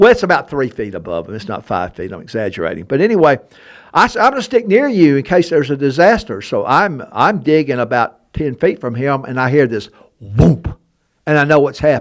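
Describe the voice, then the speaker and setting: A man in an Alabama accent, with vocal fry, a fairly quick pace and very wide pitch swings. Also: fairly high pitch for a man, big swings in loudness. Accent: Southern US (Alabama). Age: 70s. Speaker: historian and treasure hunter. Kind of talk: casual chat. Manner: animated.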